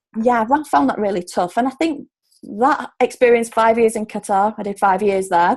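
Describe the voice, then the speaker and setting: The speaker has a Yorkshire accent and talks at a moderate pace with ordinary pitch variation. The background is quiet. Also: woman, fairly high pitch for a woman. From Yorkshire, Hull. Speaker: relocation coach. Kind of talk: casual interview chat.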